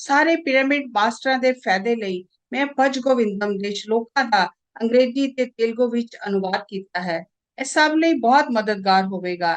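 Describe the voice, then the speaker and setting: A woman speaks at a fairly high pitch with lively intonation. She has a normal speaking voice. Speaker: translator and voice-over narrator of a spiritual discourse.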